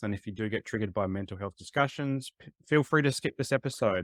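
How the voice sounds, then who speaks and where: Very fast and with an Australian accent, a man talks in a dry, close recording with no echo, very clean against a silent background. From Adelaide, South Australia. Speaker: podcast host. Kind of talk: podcast interview.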